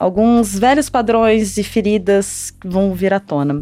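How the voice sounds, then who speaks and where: A woman with a normal speaking voice, a medium pitch and ordinary pitch variation. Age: 30s. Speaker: astrologer co-host. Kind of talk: casual podcast chat.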